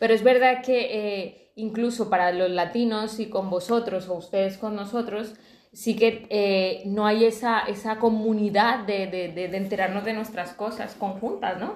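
A woman's fairly high voice, fairly slow and monotone with flat intonation, with hardly any pauses. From Colombia. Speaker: podcast co-host. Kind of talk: casual chat.

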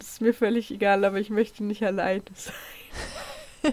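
Her intonation stays monotone and flat. The speaker is a woman. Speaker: true crime podcast co-host. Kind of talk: casual chat.

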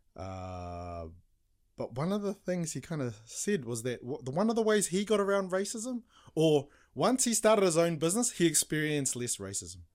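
A high-pitched male voice with a New Zealand accent, swinging very widely in pitch at a moderate pace, in a very clean recording with a silent background. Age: 40s. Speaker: business coach. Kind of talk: casual chat.

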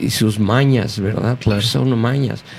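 A man's medium-pitched voice with ordinary pitch variation against noticeable background noise. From Mexico City. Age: 60s. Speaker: pastor. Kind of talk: interview. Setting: studio.

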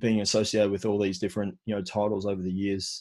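Fairly quick speech from a man with an Australian accent and a fairly low voice, over a quiet background. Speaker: podcast host. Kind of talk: casual interview; scripted show intro.

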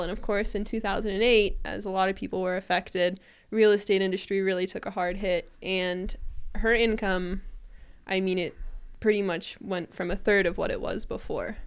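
In a very clean recording with a silent background, a woman with a normal speaking voice talks at a moderate pace, at medium pitch, with fairly even intonation. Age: 20s. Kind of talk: casual interview.

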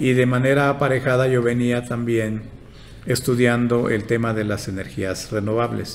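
A man's medium-pitched voice in a Yucatán accent, monotone and flat, at a moderate pace with audible room echo. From Yucatán, Mexico. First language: Yucatec Maya (speaking Spanish). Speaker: engineer and institute director. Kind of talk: interview.

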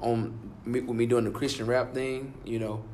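A man with a Southern US accent speaks at a fairly slow pace in a medium pitch, with audible room echo. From Alabama. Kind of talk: interview.

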